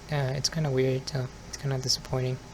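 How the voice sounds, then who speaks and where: There is noticeable background noise behind this recording. A man speaks at a medium pitch and a moderate pace. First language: Spanish. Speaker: ASMR youtuber. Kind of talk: ASMR casual monologue. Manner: soft-spoken.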